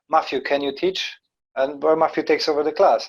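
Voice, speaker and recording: With a non-native accent, a man talks at a fairly quick pace and fairly high pitch against a quiet background. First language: not English. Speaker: karate instructor and podcast host. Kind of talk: casual chat.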